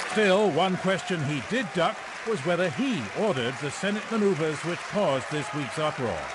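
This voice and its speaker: A man with a high pitch talks at a moderate pace with lively intonation while crowd noise carries in the background. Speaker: political reporter. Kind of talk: TV news report.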